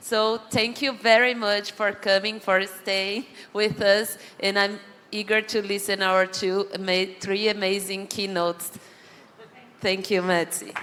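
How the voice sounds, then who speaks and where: A woman with a Brazilian accent, medium pitch, monotone, flat intonation and a fairly slow pace, amid noticeable background noise. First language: Portuguese. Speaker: panel moderator. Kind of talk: closing remarks. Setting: stage with audience.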